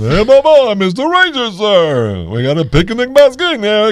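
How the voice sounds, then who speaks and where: A man puts on a character voice, pitched high. He talks at a moderate pace. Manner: folksy, cartoonish.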